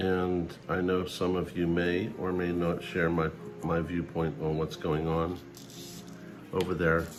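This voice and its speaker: A man speaks fairly slowly in a very deep, low voice with flat, monotone intonation and very even loudness. Music plays in the background, and the room echo is audible. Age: 60s. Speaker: precious metals stacking vlogger. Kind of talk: personal vlog monologue.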